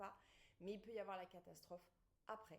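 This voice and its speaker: A woman at a medium pitch talks at a very fast pace. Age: 40s. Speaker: pregnancy and postpartum fitness coach. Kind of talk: online masterclass presentation. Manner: animated.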